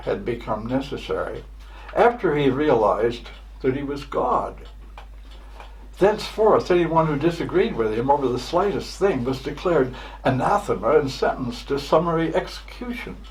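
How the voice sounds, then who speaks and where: A man talks at a moderate pace, with audible room echo around his voice. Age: 80s+. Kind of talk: prepared address. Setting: home, luncheon party. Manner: halting.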